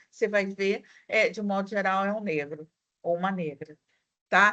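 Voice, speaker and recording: A woman speaks in a Rio de Janeiro accent. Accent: carioca. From Rio de Janeiro, Brazil. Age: 50s. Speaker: university lecturer. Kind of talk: online class discussion.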